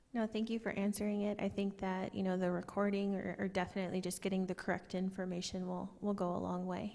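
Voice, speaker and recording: A soft-spoken woman at medium pitch talks at a very fast pace with hardly any pauses, her dark, mellow tone held flat and monotone at very even loudness. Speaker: community member asking questions. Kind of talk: town hall Q&A. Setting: public meeting with audience microphones. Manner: quiet.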